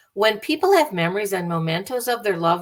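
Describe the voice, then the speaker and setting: A woman with an American accent and a medium pitch makes very wide pitch swings as she speaks. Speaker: bereavement speaker, bereaved parent. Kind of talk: lecture.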